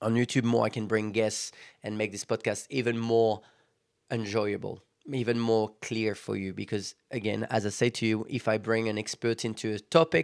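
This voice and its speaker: A man in a French accent at a medium pitch and moderate pace, on a very clean recording with a silent background. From France. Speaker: podcast host. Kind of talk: motivational podcast monologue. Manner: halting.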